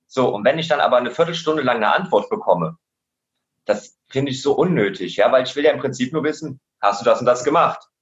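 At a very fast pace, a man speaks with vocal fry, lively intonation and a fairly high pitch. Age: 30s. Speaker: adult educator. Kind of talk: casual interview.

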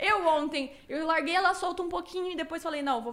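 A woman at a very fast pace. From Cuiabá, Mato Grosso, Brazil. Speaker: streamer. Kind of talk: casual interview.

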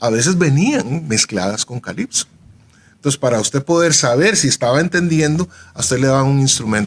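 A man with an unremarkable speaking voice talks at a moderate pace and fairly high pitch. His intonation is lively, and the sound is dry and close with no echo. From Costa Rica, Jamaican descent. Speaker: musician and researcher. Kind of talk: radio panel discussion.

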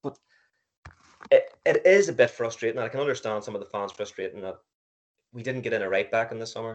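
A man talks at a very fast pace, broken by long, frequent pauses. His loudness swings widely. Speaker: podcast co-host. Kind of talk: casual chat.

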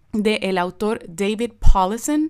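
A woman's fairly high voice at a very slow pace with ordinary pitch variation, on a very clean recording with a silent background. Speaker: biblical counselor and podcast host. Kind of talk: informal teaching monologue. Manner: casual, informal; hesitant with many fillers.

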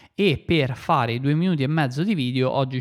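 A man speaks at a fairly quick pace, his medium pitch showing ordinary pitch variation. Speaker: podcast host and app developer. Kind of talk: solo podcast monologue. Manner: halting, frequent fillers and repetitions.

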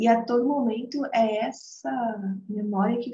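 Here a woman's voice is somewhat breathy, with a dark, mellow tone. Her pitch varies in an ordinary way. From Brazil, interior of São Paulo state. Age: 20s. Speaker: psychologist and holistic therapist. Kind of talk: casual interview.

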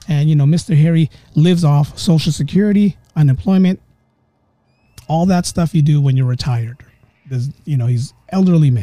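Somewhat breathy, a man with a fairly high pitch speaks at a fairly quick pace with ordinary pitch variation and long, frequent pauses, in a dry, close sound with no echo. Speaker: podcast host. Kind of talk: ghost story telling, casual conversational retelling of a friend's haunting. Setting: home podcast recording with background music. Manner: relaxed, conversational, dramatic pauses, voicing characters in dialogue.

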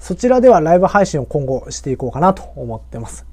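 A man speaks at a fairly quick pace. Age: 30s. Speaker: lawyer hosting a solo podcast. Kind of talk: solo podcast monologue. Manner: polite, scripted delivery with many fillers.

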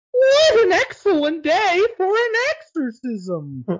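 A man puts on a character voice with an extremely high pitch. He talks at a fairly slow pace. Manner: spooky, ominous.

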